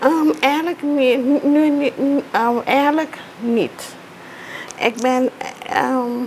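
A woman's high-pitched voice with ordinary pitch variation, over light background noise. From Suriname. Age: 40s. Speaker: teacher and artist. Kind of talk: interview; tutorial. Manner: halting. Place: home room.

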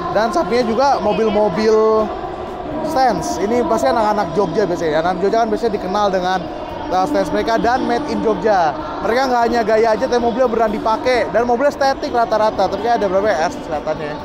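A man talking at a very fast pace, dry sound with no echo, crowd noise behind him. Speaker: vlogger at car show. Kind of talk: casual vlog commentary. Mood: enthusiastic, impressed. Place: hall. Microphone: phone near.

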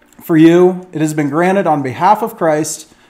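Over music in the background, a man talks at a moderate pace with a high pitch and ordinary pitch variation. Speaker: teacher or preacher. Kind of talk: lecture. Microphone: webcam.

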